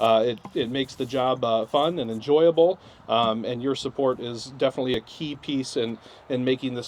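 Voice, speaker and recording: A man's medium-pitched voice with fairly even intonation. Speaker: program instructor. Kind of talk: graduation ceremony speech. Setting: ceremony with live audience. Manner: fast; hesitant, many filler words.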